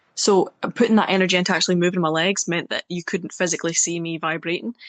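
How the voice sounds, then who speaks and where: A woman with a Scottish accent, very fast delivery, fairly low pitch, fairly even intonation, and a dry, close sound with no echo. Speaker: poet. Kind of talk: interview.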